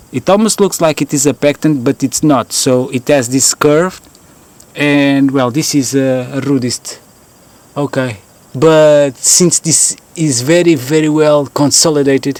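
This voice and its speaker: This man has a Portuguese accent and a fairly high pitch. The sound is dry and close, with no echo. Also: fairly even intonation, fairly slow pace. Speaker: fossil hunter vlogger. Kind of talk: outdoor vlog narration. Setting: outdoors. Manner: halting, many fillers.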